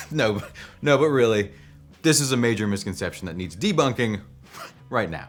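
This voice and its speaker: A man puts on a wheezy character voice at a medium pitch, moving at a moderate pace with very wide pitch swings and long, frequent pauses. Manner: wheezing.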